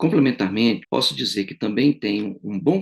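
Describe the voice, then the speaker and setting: With an ordinary speaking voice, a man talks at a moderate pace and a fairly low pitch, using ordinary pitch variation. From Brazil. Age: 60s. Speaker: retired engineering professor. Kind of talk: political testimony to camera. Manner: formal.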